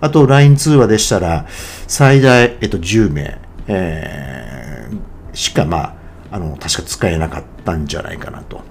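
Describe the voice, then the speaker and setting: Noticeable background noise sits behind a man with a very deep, low pitch and very wide pitch swings. He speaks at a fairly slow pace, with big swings in loudness. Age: 50s. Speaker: podcaster. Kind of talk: solo monologue podcast. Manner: halting with many fillers.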